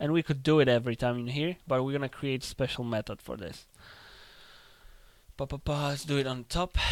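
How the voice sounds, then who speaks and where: A man with a non-native accent speaks at a fairly quick pace, yet with long, frequent pauses. His pitch is medium, with ordinary variation. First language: not English. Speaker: game development tutorial creator. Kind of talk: tutorial. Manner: casual, thinking aloud with fillers.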